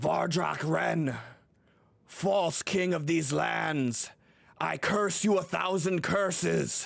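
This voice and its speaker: Putting on a raspy character voice, a man speaks very slowly at a fairly high pitch. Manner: booming, cursing.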